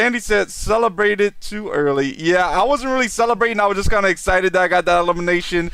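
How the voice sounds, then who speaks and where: High-pitched and bright, sharp in tone, a man rushes along at a very fast pace with hardly any pauses and ordinary pitch variation. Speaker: gaming streamer. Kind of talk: live gameplay commentary. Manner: halting, many fillers and repeats.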